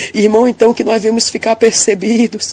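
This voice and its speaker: Woman of medium pitch at a fairly quick pace, with noticeable background noise. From interior of Bahia, Brazil. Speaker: church member giving a testimony. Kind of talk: religious testimony of a vision. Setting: recorded audio message.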